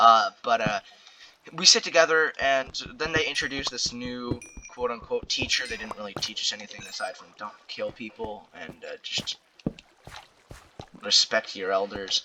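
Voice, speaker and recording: Against noticeable background noise, a man speaks at a moderate pace with long, frequent pauses. His loudness swings widely. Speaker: storytime commentary youtuber. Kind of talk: casual storytelling monologue. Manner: filler-heavy, hesitant.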